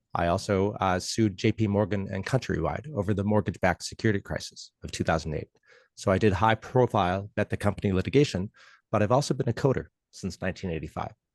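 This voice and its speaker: A very fast delivery in an Upper Midwest accent, with ordinary pitch variation, a dry, close sound with no echo and a quiet background. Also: man, fairly low pitch for a man. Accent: Upper Midwest American. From Minnesota. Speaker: legal technologist and lawyer. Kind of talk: lecture.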